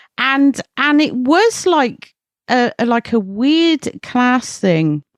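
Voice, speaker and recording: In an English accent, a woman speaks very slowly at a high pitch with very wide pitch swings and very even loudness, in a dry, close sound with no echo. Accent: English rural. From rural England. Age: 40s. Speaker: horror journalist and editor. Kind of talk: casual chat.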